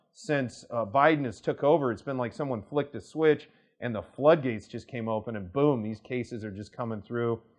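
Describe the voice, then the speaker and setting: A man talks with a Kansas accent. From US, Kansas. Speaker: immigration attorney. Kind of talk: casual talk to camera. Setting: studio to camera. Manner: conversational, many fillers.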